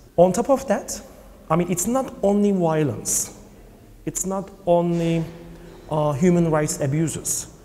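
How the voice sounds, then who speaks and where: This speaker has a Turkish accent and lively intonation. The pace is fairly slow, with long, frequent pauses. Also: man, high pitch for a man. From Turkey. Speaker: film producer and LGBT parents' activist. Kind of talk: interview. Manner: halting. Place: hall. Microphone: lapel.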